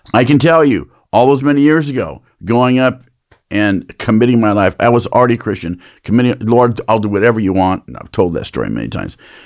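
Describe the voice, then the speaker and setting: Talking at a very fast pace, a man uses a medium pitch with ordinary pitch variation and big swings in loudness. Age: 60s. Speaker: pastor. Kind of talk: casual chat.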